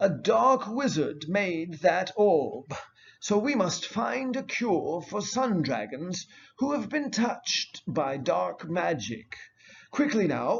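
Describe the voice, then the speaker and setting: A put-on character voice from a man, high in pitch and at a very slow pace. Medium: read story. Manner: calm, earnest.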